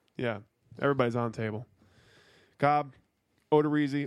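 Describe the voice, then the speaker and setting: A man talking at a very fast pace, on a very clean recording with a silent background. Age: 20s. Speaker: sports podcast co-host. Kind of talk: casual chat. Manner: sounds drunk.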